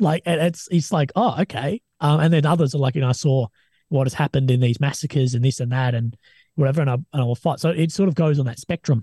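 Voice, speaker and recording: With an Australian accent, a man speaks at a very fast pace in a fairly high, somewhat breathy voice with a dark, mellow tone and ordinary pitch variation, recorded dry and close with no echo against a quiet background. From Australia, Adelaide. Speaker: army veteran and war correspondent. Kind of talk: casual interview chat. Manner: animated.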